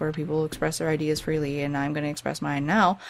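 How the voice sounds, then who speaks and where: A woman with a very deep, low pitch at a very fast pace. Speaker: video game let's play creator. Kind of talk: let's play commentary. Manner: halting.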